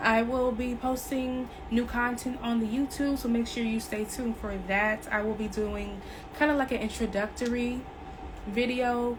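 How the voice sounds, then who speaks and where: Amid noticeable background noise and audible room echo, a woman speaks at a fairly slow pace in a fairly high pitch with fairly even intonation. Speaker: tarot reader. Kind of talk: spiritual reading monologue.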